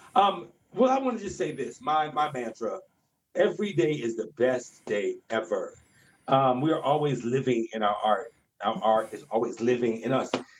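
A man with an American accent has an ordinary speaking voice with a fairly high pitch. He speaks at a moderate pace with lively intonation. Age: 40s. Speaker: director and choreographer. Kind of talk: casual chat.

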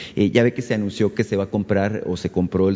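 Speaking at a fairly quick pace, a man uses a fairly low voice. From Mexico (Sonora). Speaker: radio journalist. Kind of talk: press conference question. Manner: halting.

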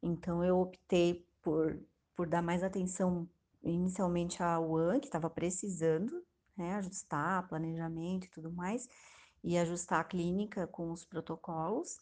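A woman with a normal speaking voice talks at a fairly slow pace. Her pitch is fairly low, and her intonation stays fairly even. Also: quiet background. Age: 30s. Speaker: hospital nutritionist. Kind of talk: interview.

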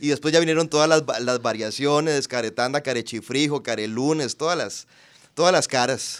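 This man's pitch is fairly high. He has an unremarkable speaking voice. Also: ordinary pitch variation, moderate pace. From Costa Rica, Puntarenas. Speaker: actor and TV personality. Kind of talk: casual interview chat.

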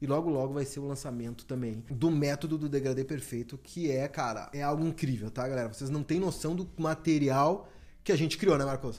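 A man in an ordinary speaking voice, fairly high-pitched with ordinary pitch variation, moving at a fairly quick pace with hardly any pauses. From Brazil, Porto Alegre (Rio Grande do Sul). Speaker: barber and podcast host. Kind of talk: promotional announcement; casual chat.

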